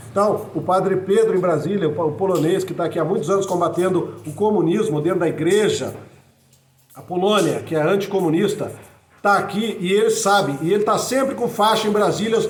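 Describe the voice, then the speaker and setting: Over noticeable background noise and audible room echo, a man with a high voice speaks at a fairly quick pace with ordinary pitch variation. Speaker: political commentator and author. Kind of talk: monologue video message. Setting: improvised home recording. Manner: fast; halting with repetitions.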